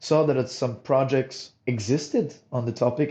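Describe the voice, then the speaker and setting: A man speaks with a Monegasque accent. His pitch is medium, with ordinary pitch variation. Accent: non-British accent, from Monaco. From Monaco. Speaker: startup co-founder, materials engineer. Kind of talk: interview.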